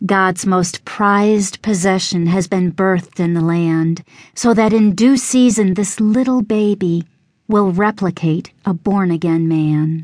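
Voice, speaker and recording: An ordinary speaking voice at a fairly slow pace, with ordinary pitch variation and very even loudness. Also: woman, medium pitch for a woman. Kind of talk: poetry reading, rhyming spoken word piece. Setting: audiobook recording. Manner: rhythmic, measured, reverent.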